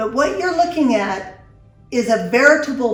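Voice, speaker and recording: Pitch swings very widely over music in the background. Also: woman. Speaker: show host. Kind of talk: interview conversation.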